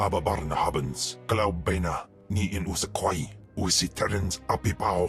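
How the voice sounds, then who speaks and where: With clear music in the background, a man does a cartoonish character voice with a menacing tone at a very deep, low pitch and a moderate pace. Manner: menacing, guttural, speaks alien tongue.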